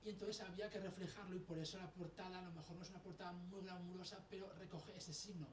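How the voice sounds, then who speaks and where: Over noticeable background noise and audible room echo, a man speaks very fast at a high pitch with monotone, flat intonation. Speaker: author. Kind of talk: interview. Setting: radio and TV studio. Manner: halting, false starts.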